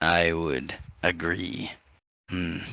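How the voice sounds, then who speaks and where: A raspy, put-on character voice. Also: man, very deep, low pitch for a man. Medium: actual play. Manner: measured, musing.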